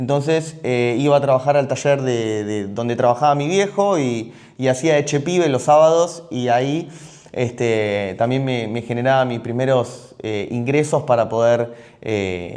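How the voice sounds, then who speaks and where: A man with a Rioplatense accent, medium-pitched, at a fairly slow pace with ordinary pitch variation. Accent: Argentine Rioplatense Spanish. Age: 30s. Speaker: entrepreneur, gym and supplement store owner. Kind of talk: personal life story monologue. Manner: halting, many fillers and repetitions.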